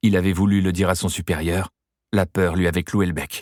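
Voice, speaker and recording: In a very clean recording with a silent background, a man talks at a moderate pace. His voice is very deep and low, with a dry, close sound and no echo. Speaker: actor. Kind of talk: audiobook reading.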